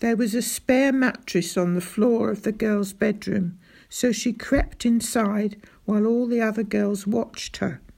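The text is read aloud in a natural voice. Pitch varies in an ordinary way.

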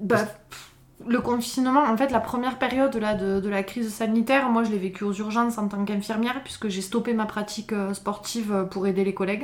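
Fairly even intonation and a fairly high pitch from a woman, with noticeable background noise. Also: fairly quick pace. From southern France (Pyrénées-Orientales, Font-Romeu). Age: 30s. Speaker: trail runner and mountaineer. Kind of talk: interview. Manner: hesitant, many fillers.

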